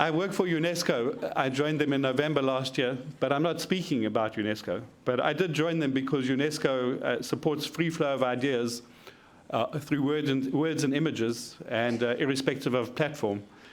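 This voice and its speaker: Audible room echo surrounds a man whose loudness stays very even and whose pitch varies in an ordinary way. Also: fairly high pitch for a man, moderate pace. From South Africa. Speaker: media researcher. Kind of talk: conference presentation.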